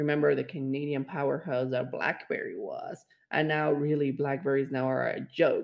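A man with a Spanish accent. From Mexico. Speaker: podcast co-host. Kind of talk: casual chat.

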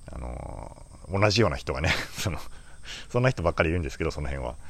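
A man speaks with noticeable vocal fry. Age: 40s. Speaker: flower farmer. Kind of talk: casual monologue podcast. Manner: halting, many fillers.

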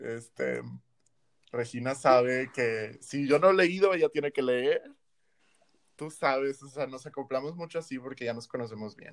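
A man with a medium pitch and ordinary pitch variation speaks at a fairly slow pace, his loudness swinging widely, with long, frequent pauses. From Monterrey, northern Mexico. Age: 20s. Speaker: medical student, podcast co-host. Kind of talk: casual chat.

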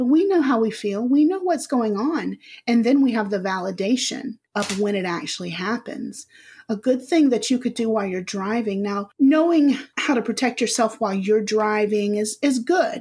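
A woman speaks at a moderate pace in a fairly high pitch, somewhat breathy, with lively intonation. The recording is very clean with a silent background. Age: 40s. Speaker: spiritual healer and hypnotherapist. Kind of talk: casual interview.

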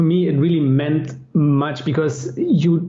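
A man speaks very slowly with a German accent. Background noise is noticeable. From Germany. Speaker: experienced pilgrim. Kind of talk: casual interview chat. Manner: halting, hesitant with fillers.

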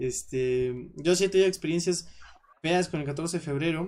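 A man's fairly high voice in a Mexican accent. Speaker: podcast host. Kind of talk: casual chat. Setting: live stream.

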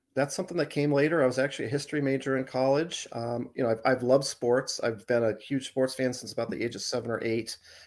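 Speaking very fast with hardly any pauses, a man talks in an American accent. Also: medium pitch for a man, fairly even intonation. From Arizona. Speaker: sportswriter. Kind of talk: casual chat. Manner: halting.

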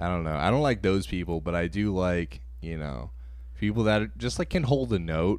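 A man with a very deep, low pitch talks at a moderate pace, his voice making very wide pitch swings. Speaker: podcast host. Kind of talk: casual chat. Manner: animated.

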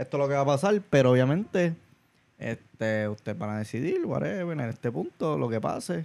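With an unremarkable speaking voice, a man talks at a fairly quick pace and a fairly high pitch. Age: 40s. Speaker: podcast co-host. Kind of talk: casual chat.

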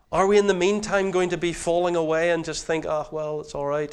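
Speaking at a fairly quick pace, a man talks with a Northern Irish accent. His pitch varies in an ordinary way. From Northern Ireland. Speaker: preacher. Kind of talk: sermon.

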